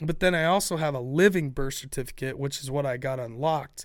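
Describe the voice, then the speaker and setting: In a fairly quick, fairly high voice with an American accent, a man talks in an unremarkable speaking voice with ordinary pitch variation, on a very clean recording with a silent background. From Ohio. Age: 40s. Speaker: podcast host. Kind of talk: casual chat.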